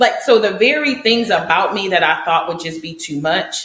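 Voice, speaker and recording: A woman talks loudly at a moderate pace in an animated tone, her pitch swinging very widely. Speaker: podcast co-host. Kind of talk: casual chat.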